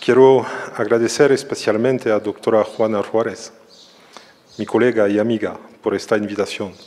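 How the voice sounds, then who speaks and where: Noticeable background noise sits behind a man speaking at a medium pitch with a strong French accent. His intonation is monotone and flat, with long, frequent pauses at a moderate pace. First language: French (speaking Spanish). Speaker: social psychology professor. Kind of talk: lecture. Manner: careful, non-fluent Spanish.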